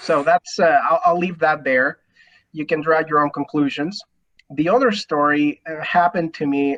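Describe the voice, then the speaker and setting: A Spanish accent at a moderate pace. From Mexico. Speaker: lawyer. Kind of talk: panel discussion.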